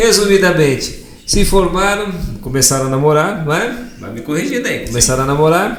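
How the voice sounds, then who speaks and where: With audible room echo and noticeable background noise, a man speaks at a high pitch that swings very widely. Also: moderate pace. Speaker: podcast host. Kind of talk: casual interview chat.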